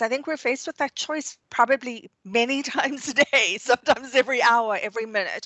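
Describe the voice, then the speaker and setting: This woman has a high pitch. She talks at a moderate pace. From South Africa. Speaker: resilience consultant and author. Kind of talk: interview.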